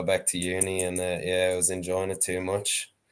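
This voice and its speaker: A man with an Irish accent speaks at a very deep, low pitch. His pace is moderate. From Ireland, County Wexford. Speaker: sheep shearer and dog trainer. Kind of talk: casual chat.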